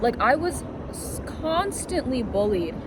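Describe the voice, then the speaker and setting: With a New York accent, a woman talks at a moderate pace amid noticeable background noise and audible room echo. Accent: New York American English. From New York (Queens, then upstate). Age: 20s. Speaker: student, podcast guest. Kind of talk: casual chat.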